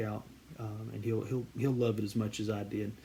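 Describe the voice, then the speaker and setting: A man's medium-pitched, dark, mellow voice, somewhat breathy, with flat, monotone intonation, a moderate pace and a Southern US accent. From US South, central Georgia. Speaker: card collecting YouTuber. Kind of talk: casual vlog introduction. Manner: halting, many fillers and repeated words.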